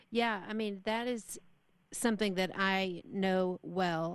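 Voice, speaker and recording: An unremarkable speaking voice comes from a woman with an American accent, medium pitch and fairly even intonation. She talks at a fairly slow pace over a quiet background. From Texas. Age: 40s. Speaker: radio host. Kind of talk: interview.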